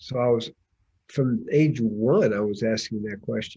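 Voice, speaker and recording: Very slowly, a man speaks at a medium pitch in a somewhat breathy voice with a dark, mellow tone. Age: 70s. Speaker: holistic physician and spiritual teacher. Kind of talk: interview answer.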